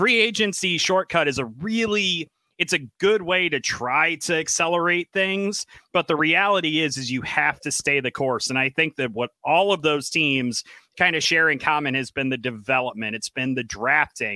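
On a very clean recording with a silent background, a man speaks at a moderate pace with a bright, sharp tone, fairly high pitch and lively intonation, the sound dry and close with no echo. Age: 30s. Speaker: hockey podcast panelist. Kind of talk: casual chat.

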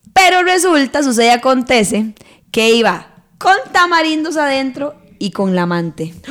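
A woman's high, animated voice with very wide pitch swings at a moderate pace. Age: 30s. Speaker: podcast host. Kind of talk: casual chat.

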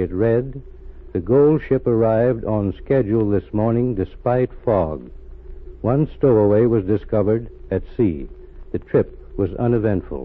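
Using a plain, everyday voice, a man speaks at a medium pitch with ordinary pitch variation and a fairly slow pace. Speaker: radio show narrator. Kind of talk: scripted dramatic narration, old-time radio. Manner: formal, measured, solemn storyteller delivery; grave, authoritative, addressing audience directly.

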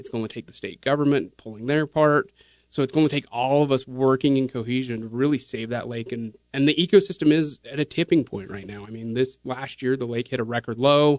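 A man with an American accent speaks at a medium pitch and a fairly quick pace, with hardly any pauses. He has a plain, everyday voice, with ordinary pitch variation and big swings in loudness. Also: dry, close sound with no echo. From Utah (Kaysville). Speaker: conservation nonprofit fundraiser. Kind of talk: podcast interview. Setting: studio.

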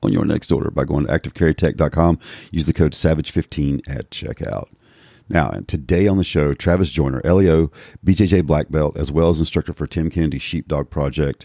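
A man's very deep, low voice carries a dark, mellow tone and vocal fry, with fairly even intonation at a moderate pace. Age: 50s. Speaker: podcast host, law enforcement officer. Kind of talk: casual interview chat; read-out sponsor ad.

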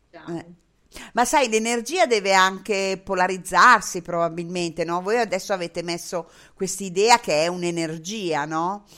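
At a moderate pace, a woman speaks with a medium pitch, ordinary pitch variation, and a bright, sharp tone. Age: 60s. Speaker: web radio host. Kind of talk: casual interview. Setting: Skype call with headphones.

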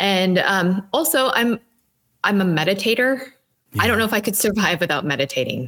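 With very wide pitch swings yet very even loudness, a woman at medium pitch speaks at a fairly quick pace. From Minnesota. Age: 20s. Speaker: sober lifestyle co-founder. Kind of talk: interview testimony.

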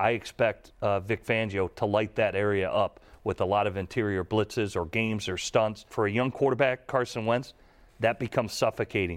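A man talks at a moderate pace in a normal speaking voice, fairly low in pitch with fairly even intonation. The recording is very clean, with a silent background. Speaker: former NFL quarterback, football analyst. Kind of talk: sports podcast discussion.

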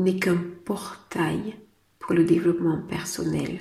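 The woman's delivery is very slow. An echo from the room can be heard. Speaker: business coach and podcast host. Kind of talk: solo podcast monologue. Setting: outdoors in city traffic.

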